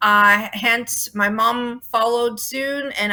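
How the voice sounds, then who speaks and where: This woman has a Toronto accent. Her tone is bright and sharp. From Toronto, Canada. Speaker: rock band singer and bassist. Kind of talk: interview.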